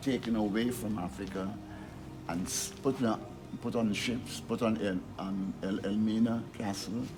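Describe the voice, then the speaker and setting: Over music in the background, a man speaks at a fairly low pitch. His intonation stays fairly even. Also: fairly slow pace. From Guyana. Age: 80s+. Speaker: publisher and activist. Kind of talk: speech to an audience.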